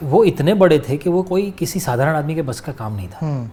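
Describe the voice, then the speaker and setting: Very wide pitch swings mark this voice, which keeps a moderate pace. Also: man. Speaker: actor. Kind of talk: interview answer.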